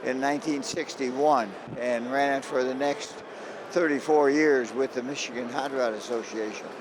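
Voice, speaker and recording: A man at a moderate pace with medium pitch and fairly even intonation, amid noticeable background noise and audible room echo. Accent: American. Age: 90s. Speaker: car show promoter. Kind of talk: interview.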